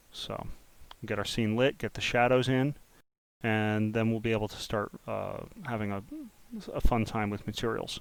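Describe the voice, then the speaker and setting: At a moderate pace, a man with a medium pitch speaks in a monotone, flat way, leaving long, frequent pauses. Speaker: 3D modeling tutorial creator. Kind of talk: tutorial. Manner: uneven volume, sometimes soft; muttering.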